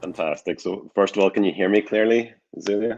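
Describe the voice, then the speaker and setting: An American accent comes through in a dry, close sound with no echo. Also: man. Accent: Northern Irish, said to sound a bit American. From Northern Ireland. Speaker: academic researcher. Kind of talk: lecture.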